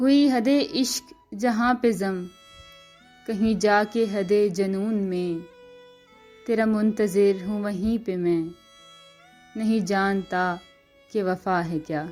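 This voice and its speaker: Against music in the background, a woman speaks at medium pitch with ordinary variation. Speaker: voice-over artist. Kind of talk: poetry reading.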